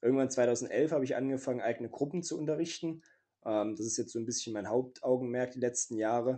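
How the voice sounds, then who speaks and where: A man talks very fast at a medium pitch with fairly even intonation. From Saxony, Leipzig. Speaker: wrestler and martial arts teacher. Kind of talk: interview.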